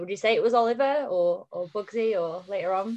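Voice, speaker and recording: Her fairly high voice has a dark, mellow tone as the woman speaks at a moderate pace. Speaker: podcast host. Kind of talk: casual interview chat.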